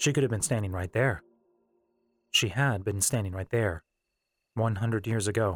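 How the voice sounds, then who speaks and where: A man's fairly low, somewhat breathy voice in a dramatic tone, at a moderate pace with long, frequent pauses and ordinary pitch variation, dry and close with no echo on a very clean recording with a silent background. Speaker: audiobook narrator. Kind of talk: literary audiobook reading, fan-fiction novel narrated aloud. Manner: steady, measured storyteller pacing with dramatic, atmospheric narration.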